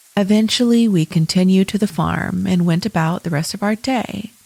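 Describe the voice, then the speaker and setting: Over noticeable background noise, a woman talks at a moderate pace with a medium pitch and ordinary variation, the sound dry and close with no echo. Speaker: podcast host. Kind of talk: scary story reading.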